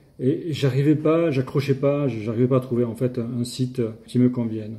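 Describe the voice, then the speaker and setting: Dark, mellow tone with a somewhat breathy quality. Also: man. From southern France. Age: 60s. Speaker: language learner. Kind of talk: testimony. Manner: halting, hesitant.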